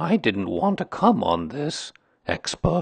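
Slow and slightly husky with vocal fry, this put-on character voice makes big pitch swings.

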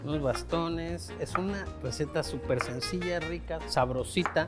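Music plays clearly in the background. Over it, a man talks. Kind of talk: tutorial. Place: kitchen.

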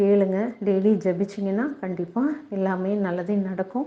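A woman speaks at medium pitch with ordinary pitch variation. Hers is an ordinary speaking voice. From Tamil Nadu, Vaniyambadi. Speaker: parishioner giving testimony. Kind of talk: religious testimony.

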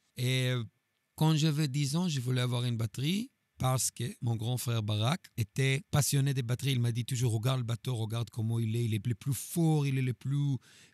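With a Hebrew accent, a man speaks at a moderate pace and medium pitch with ordinary pitch variation and very even loudness, on a very clean recording with a silent background and a dry, close sound with no echo. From Israel. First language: Hebrew (speaking French). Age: 40s. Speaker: drummer. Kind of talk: interview. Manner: halting.

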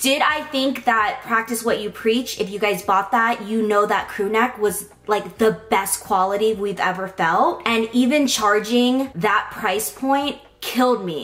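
Here a woman speaks rather slowly. The pitch of her voice shifts in an ordinary way. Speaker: vlogger. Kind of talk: casual vlog chat. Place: home room.

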